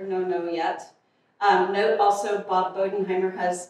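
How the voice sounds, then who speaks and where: A woman's voice with strong room echo. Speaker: pastor. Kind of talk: church announcements. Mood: warm, casual, light laughter. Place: church.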